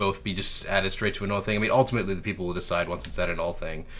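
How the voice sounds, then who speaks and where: A man speaks in a fairly low pitch with monotone, flat intonation. Audible room echo surrounds the voice. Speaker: meeting chair. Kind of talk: business meeting discussion. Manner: halting, stuttering.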